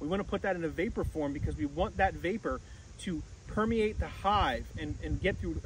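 A man speaks at a moderate pace with a high pitch and ordinary pitch variation. The sound is dry with no echo, and there is light background noise. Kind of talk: tutorial. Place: open country.

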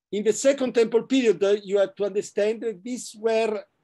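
In an Italian accent, a high-pitched man speaks at a moderate pace with ordinary pitch variation over a quiet background. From Italy, Florence; Italy. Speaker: professor; guest lecturer. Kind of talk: lecture. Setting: video call. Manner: halting. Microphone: video call.

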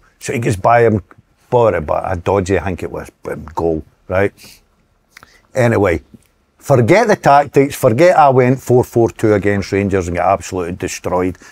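A man with a Scottish accent speaks at a moderate pace in a fairly low voice, his intonation lively, with long, frequent pauses and a dry, close sound with no echo. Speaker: former footballer and manager. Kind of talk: casual chat. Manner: animated.

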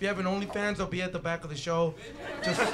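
Loud background noise is present. Over it, a man talks. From western Canada. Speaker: comedian. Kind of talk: improvised stand-up. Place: stage. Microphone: handheld.

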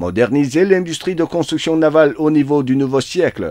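Recorded with a dry, close sound with no echo, a man with a plain, everyday voice speaks at a moderate pace and a fairly high pitch. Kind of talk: formal state-media newsreading, scripted dispatch read aloud. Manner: formal, solemn, steady and dry, with long official titles.

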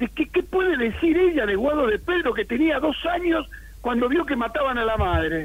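A man speaks at a moderate pace in an extremely high voice, his pitch swinging very widely while his loudness stays very even. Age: 70s. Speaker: political scientist and writer. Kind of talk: radio interview. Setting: phone call.

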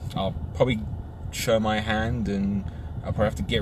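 A man at a fairly low pitch and very fast pace, with noticeable background noise. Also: dry sound with no echo. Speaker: film fan reviewer. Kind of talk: casual vlog chat. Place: car. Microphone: phone near.

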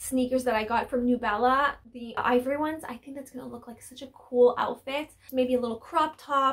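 Speaking at a moderate pace, a woman uses a fairly high pitch and fairly even intonation.

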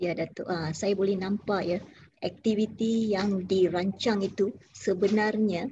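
Over light background noise, a woman of medium pitch speaks at a fairly slow pace, her tone dark and mellow, somewhat breathy, and her intonation fairly even. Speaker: interviewer. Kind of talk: formal interview. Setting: video call. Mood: polite, respectful. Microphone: video call.

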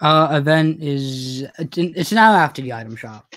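A man talks at a moderate pace with a fairly high pitch. His tone is fairly bright and his intonation lively.

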